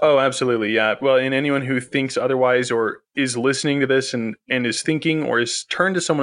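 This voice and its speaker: Over a quiet background, a man with an American accent speaks in a normal speaking voice at a medium pitch and a moderate pace. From northern Utah. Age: 20s. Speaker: podcast host. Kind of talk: casual interview.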